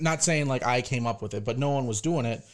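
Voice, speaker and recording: A man talks fairly quickly at a medium pitch, with ordinary pitch variation and an ordinary speaking voice. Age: 20s. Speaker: fingerboard deck maker. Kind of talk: casual interview chat.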